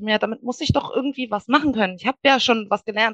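A woman speaks very fast at a fairly high pitch with ordinary pitch variation. The sound is dry and close, with no echo. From western Germany (Wuppertal, Bergisches Land). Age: 30s. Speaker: virtual assistant. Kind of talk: podcast interview.

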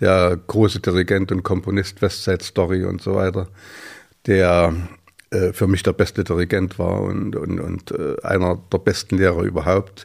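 Delivering his words at a fairly slow pace, a man has a very deep, low pitch and a monotone, flat intonation. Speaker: choir festival founder. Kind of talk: casual chat. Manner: halting.

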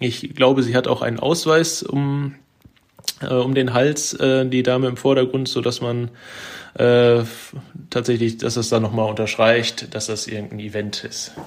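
A man speaks in a plain, everyday voice at a medium pitch. His pace is fairly slow. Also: fairly even intonation. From Germany, Ruhr area (Bochum). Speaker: photographer. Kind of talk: casual chat.

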